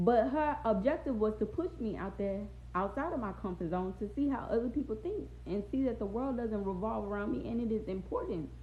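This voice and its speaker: Using an American accent, a woman talks at a fairly quick pace and a fairly high pitch with vocal fry, lively intonation and an animated tone. Audible room echo surrounds her voice. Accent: Louisiana Southern accent, noticed by others. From Louisiana, Baton Rouge area (US South). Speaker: live streamer. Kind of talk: casual livestream chat. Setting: TikTok live stream.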